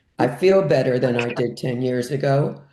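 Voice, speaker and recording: Her voice is very deep and low for a woman, with a dark, mellow tone, a moderate pace and audible room echo. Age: 70s. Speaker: retired community volunteer, board member. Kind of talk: casual chat.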